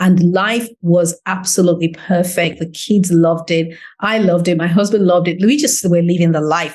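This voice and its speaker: A woman speaks at a fairly low pitch in an animated tone with ordinary pitch variation. She moves at a fairly quick pace with hardly any pauses. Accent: English. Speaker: business owner. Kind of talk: interview.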